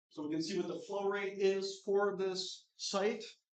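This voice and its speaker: A high-pitched man's voice with audible room echo. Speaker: conference speaker giving a tech demo. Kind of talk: live demo talk. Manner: fast.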